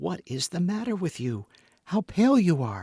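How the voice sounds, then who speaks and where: In a put-on character voice, a man talks at a moderate pace with a high pitch and very wide pitch swings, the sound dry and close with no echo. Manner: hushed, alarmed.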